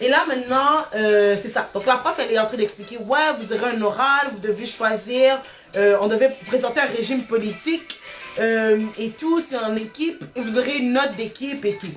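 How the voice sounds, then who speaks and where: Music plays in the background as a woman speaks at a fairly high pitch. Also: ordinary pitch variation, moderate pace. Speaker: abuse survivor sharing her story. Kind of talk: testimony. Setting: live stream. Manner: energetic.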